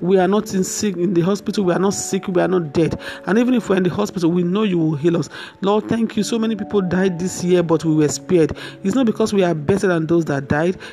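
Music plays in the background as a woman with a fairly low pitch talks at a very fast pace, her loudness very even. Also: ordinary pitch variation. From Nigeria. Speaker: minister and counselor. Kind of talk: sermon.

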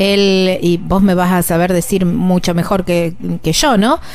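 Here a woman speaks at a medium pitch. Her pace is very slow. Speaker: travel podcast host. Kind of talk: interview.

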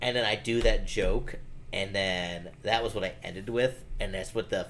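In an American accent, a man speaks at a fairly slow pace, and audible room echo surrounds him. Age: 30s. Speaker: comedian. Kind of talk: casual chat.

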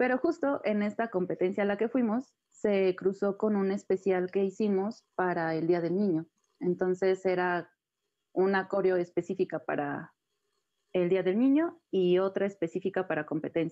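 A woman's normal speaking voice, medium in pitch, with ordinary pitch variation, very even loudness and a moderate pace. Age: 20s. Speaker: contemporary dancer. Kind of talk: interview.

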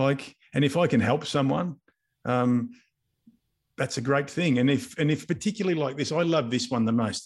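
Very even in loudness, a man with an Australian accent speaks at a moderate pace with a fairly high pitch and ordinary pitch variation. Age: 50s. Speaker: business coach and mentor. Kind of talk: casual interview.

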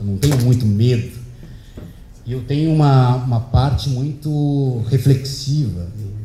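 A man's fairly slow speech with ordinary pitch variation and big swings in loudness, amid noticeable background noise and audible room echo. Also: medium pitch for a man. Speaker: speaker giving a talk at an event. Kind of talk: talk to an audience, storytelling. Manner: relaxed, conversational.

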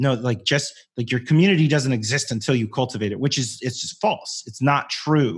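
Against a quiet background, a man talks at a fairly quick pace and medium pitch. His voice is somewhat breathy, with ordinary pitch variation. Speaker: community strategist and voiceover artist. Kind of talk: casual interview chat.

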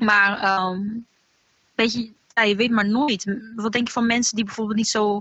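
At a moderate pace, a woman speaks in a normal speaking voice with fairly high pitch. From Netherlands, Alphen aan de Rijn. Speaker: singer in a band. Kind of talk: casual chat. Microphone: connection dropped out.

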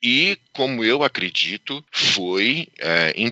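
Here a man talks. His voice sits at a medium pitch. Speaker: karting entrepreneur who brought indoor karting to Brazil. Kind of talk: interview.

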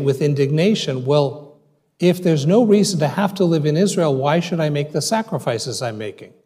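Somewhat breathy and dark, mellow in tone, a man speaks at a moderate pace with a fairly high pitch and lively intonation. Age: 60s. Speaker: rabbi and dean of a rabbinical school. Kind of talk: audience Q&A; lecture.

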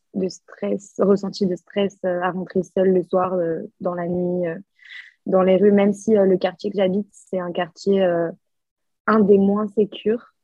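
Very slowly and in a flat monotone, a woman speaks at medium pitch, leaving long, frequent pauses. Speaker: exchange student, podcast co-host. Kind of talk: casual chat.

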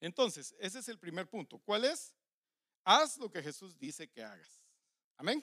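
In a raised, projected voice with a bright, sharp tone, a man speaks at a high pitch and a fairly slow pace, with very wide pitch swings, big swings in loudness and long, frequent pauses, the sound dry and close with no echo. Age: 50s. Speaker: pastor. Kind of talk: sermon.

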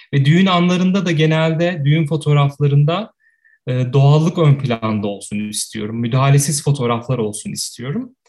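A man with a fairly high pitch and a somewhat breathy voice talks at a moderate pace, his intonation lively. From Turkey, Ankara. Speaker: photographer. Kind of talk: casual interview.

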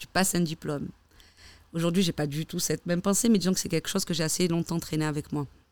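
Woman with a fairly low pitch. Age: 30s. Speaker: stylist. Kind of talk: casual chat.

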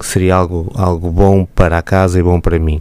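Flat, monotone delivery at a moderate pace with noticeable background noise. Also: man. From Matosinhos area, northern Portugal. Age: 40s. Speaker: local politician. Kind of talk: radio interview. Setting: radio studio.

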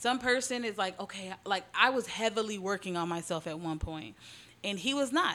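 Against noticeable background noise, a woman talks with lively intonation. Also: medium pitch for a woman, moderate pace. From Houston, Texas (Southwest, Alief area). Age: 30s. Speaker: gift shop owner and entrepreneur. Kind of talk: casual chat.

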